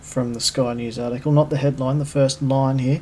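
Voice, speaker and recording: This man has an Australian accent. His pitch sits fairly high. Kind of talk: opinion commentary monologue. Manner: loud; casual, conversational.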